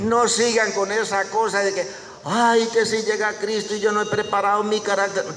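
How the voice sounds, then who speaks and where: Over noticeable background noise and audible room echo, a man talks at a moderate pace in a high pitch. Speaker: preacher. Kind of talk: sermon. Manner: animated.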